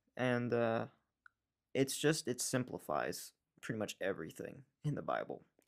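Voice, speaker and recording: A man talks at medium pitch and a moderate pace, with vocal fry. His pitch varies in an ordinary way, and he takes long, frequent pauses. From New York. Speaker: Bible school friend of the host. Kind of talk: casual chat.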